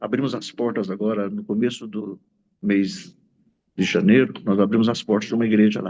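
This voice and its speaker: The voice belongs to a man with a medium pitch and a dark, mellow tone. He keeps a moderate pace. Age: 60s. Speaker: pastor. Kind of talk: testimony.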